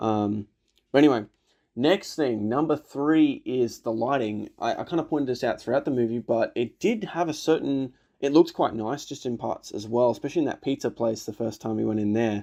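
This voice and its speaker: Dark, mellow tone in an Australian accent, with ordinary pitch variation, a fairly quick pace and a quiet background. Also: man, medium pitch for a man. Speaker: film reaction youtuber. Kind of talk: casual film review commentary. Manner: casual, hesitant with many fillers.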